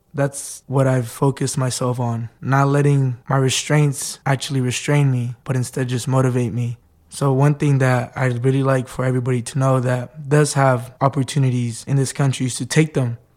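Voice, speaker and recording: With a Spanish accent, a man speaks at medium pitch in monotone, flat intonation with hardly any pauses. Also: moderate pace. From Mexico. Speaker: undocumented student. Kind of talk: personal testimony.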